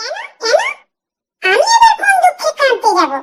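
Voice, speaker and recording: A cartoonish character voice sits at an extremely high, squeaky pitch. The pace is moderate. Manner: snappy, dismissive.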